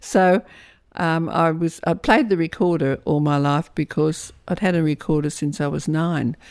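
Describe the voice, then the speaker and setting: On a very clean recording with a silent background, a woman in an Australian accent speaks at a moderate pace with a fairly low pitch and ordinary pitch variation. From Australia, Lithgow New South Wales. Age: 80s+. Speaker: author. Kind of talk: interview. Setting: at home. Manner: halting.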